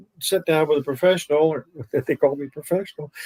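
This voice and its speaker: A man's fairly high voice comes through with a dry, close sound and no echo. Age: 80s+. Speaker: veteran trader. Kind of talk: casual chat.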